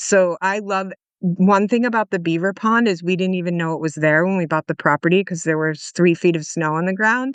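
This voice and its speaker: Fairly quick speech with hardly any pauses and ordinary pitch variation. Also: woman, medium pitch for a woman. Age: 60s. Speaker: founder of a nature-based farm education program. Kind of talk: podcast interview.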